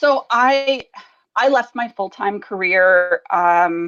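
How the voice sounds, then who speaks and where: In a western Canadian accent, a woman talks at a very slow pace with lively intonation. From Alberta, western Canada. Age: 30s. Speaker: business coach. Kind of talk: interview. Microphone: slight delay on the line.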